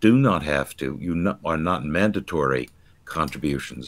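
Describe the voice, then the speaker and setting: A very deep, low male voice with vocal fry and ordinary pitch variation. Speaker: church commentator guest. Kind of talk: interview answer. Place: home room.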